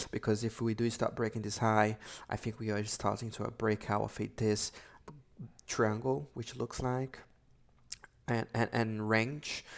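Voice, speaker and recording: Long, frequent pauses break up this man's fairly slow speech. His medium-pitched voice is monotone and flat. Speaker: forex trader. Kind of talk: market analysis webinar. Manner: halting.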